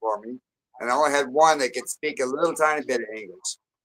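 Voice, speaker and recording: A man's voice has a bright, sharp tone with ordinary pitch variation. The sound is dry and close, with no echo. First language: French. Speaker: military veteran and construction worker. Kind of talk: casual chat.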